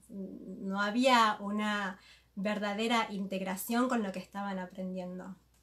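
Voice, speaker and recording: A woman's very slow, monotone, flat delivery over noticeable background noise. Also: medium pitch for a woman. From Argentina, Buenos Aires. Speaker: interpreter and moderator. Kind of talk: live consecutive interpretation. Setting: live video stream, seated beside the guest.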